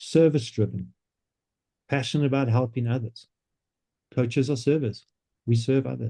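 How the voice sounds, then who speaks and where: At a moderate pace broken by long, frequent pauses, a man speaks in a dark, mellow, somewhat breathy tone at a medium pitch with fairly even intonation. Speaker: business coach presenting a coaching platform. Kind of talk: online presentation.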